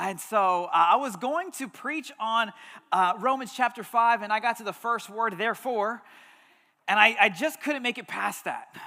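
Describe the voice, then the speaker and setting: A man's extremely high, bright, sharp voice, raised and projected, animated in tone, at a moderate pace with ordinary pitch variation. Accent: American. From Texas, Houston. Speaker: pastor. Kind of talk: sermon. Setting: church.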